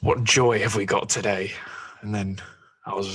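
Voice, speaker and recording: The voice comes with a Scottish accent. Its intonation is monotone and flat. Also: man. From Scotland. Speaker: podcast host. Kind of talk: casual chat.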